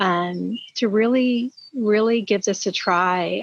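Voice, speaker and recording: A woman with fairly even intonation. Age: 60s. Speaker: product consultant sharing testimony. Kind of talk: testimony.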